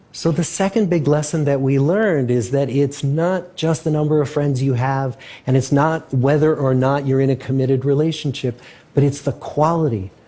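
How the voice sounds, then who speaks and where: A man's fairly high, somewhat breathy voice in a dark, mellow tone with ordinary pitch variation. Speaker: research scientist. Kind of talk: public lecture.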